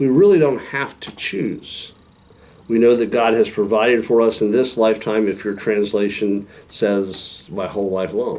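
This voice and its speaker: This man speaks with an American accent at a medium pitch and a moderate pace. He has a plain, everyday voice. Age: 60s. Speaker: pastor. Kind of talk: devotional talk. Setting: recorded video with a helper.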